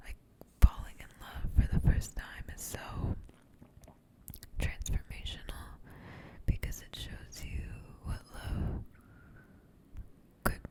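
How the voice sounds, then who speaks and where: Noticeable background noise sits behind the voice. A woman whispers very slowly. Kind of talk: whispered ASMR ramble; casual talk to camera. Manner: soft, whispered, slow, intimate.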